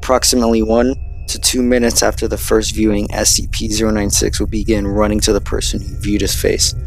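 A man's voice with music in the background. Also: dry sound with no echo. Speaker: narrator. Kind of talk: scripted explainer narration.

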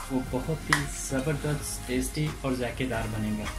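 A man talks at a very slow pace while clear music plays in the background. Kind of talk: tutorial. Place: kitchen. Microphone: phone near.

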